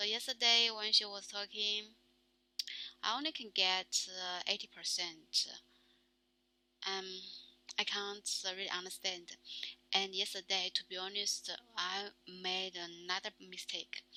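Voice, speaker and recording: This woman talks at a very slow pace in a Chinese accent, her pitch medium and her intonation fairly even. Her tone is bright and sharp. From China. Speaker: vlogger practicing English. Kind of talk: casual monologue. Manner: halting, many fillers.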